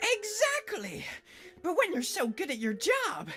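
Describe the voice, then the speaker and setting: Against clear background noise, a put-on character voice at an extremely high pitch moves along at a fairly slow pace. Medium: game stream. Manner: exclamatory, jovial.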